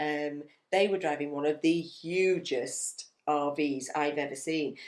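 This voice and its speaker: A woman with a very deep, low pitch talks fairly slowly, her intonation fairly even. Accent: English. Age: 50s. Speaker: retired teacher and travel vlogger. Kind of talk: casual travel chat.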